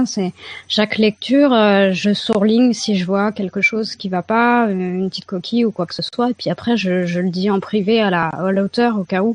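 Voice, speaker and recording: A woman talks at a moderate pace and a medium pitch, her intonation fairly even. It is a normal speaking voice over a quiet background. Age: 30s. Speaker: caller, amateur writer. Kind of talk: casual chat. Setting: video call.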